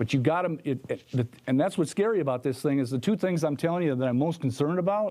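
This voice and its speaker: A man with an American accent speaks at a very fast pace in a fairly high pitch. His tone is dark and mellow, with ordinary pitch variation. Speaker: incumbent mayor, debate candidate. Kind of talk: political debate. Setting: library forum with live audience.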